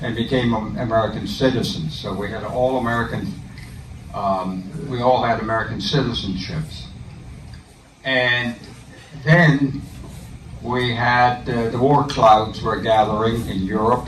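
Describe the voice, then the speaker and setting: At a fairly slow pace with long, frequent pauses, a man speaks at medium pitch with ordinary pitch variation, with audible room echo and noticeable background noise. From Netherlands, Amsterdam. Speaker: war veteran. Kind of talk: talk. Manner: halting.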